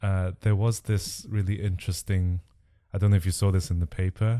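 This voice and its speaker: A man with a very deep, low pitch and a dark, mellow tone speaks at a moderate pace with fairly even intonation in a very clean recording with a silent background. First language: Chinese. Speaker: doctor and podcast co-host. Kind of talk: casual technical discussion.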